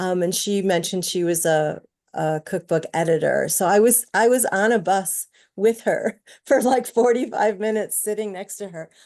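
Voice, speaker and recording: A woman with an unremarkable speaking voice talks at a medium pitch and a moderate pace, with ordinary pitch variation against a quiet background. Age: 60s. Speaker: baker and cookbook contributor. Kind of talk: audience question at online talk.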